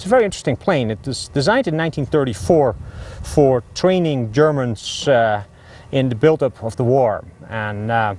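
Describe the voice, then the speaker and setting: Speaking with a Dutch accent, a man uses a medium pitch, a moderate pace and lively intonation. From Netherlands. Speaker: pilot. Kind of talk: interview.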